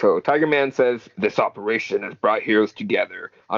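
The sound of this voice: An unforced reading voice is heard throughout.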